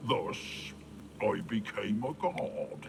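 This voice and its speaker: This is a put-on character voice. Clear background noise runs behind it. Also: man. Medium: machinima. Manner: pompous, grandiloquent.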